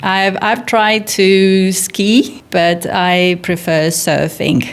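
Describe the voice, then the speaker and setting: A woman speaks very slowly at a medium pitch with ordinary pitch variation, and there is noticeable background noise. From northern Italy, near Milan. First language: Italian. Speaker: golf teacher and physiotherapist. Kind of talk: interview.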